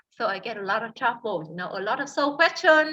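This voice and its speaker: A woman's high-pitched, bright, sharp voice with a Vietnamese accent. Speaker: tour guide. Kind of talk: interview. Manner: halting, with many fillers and repetitions.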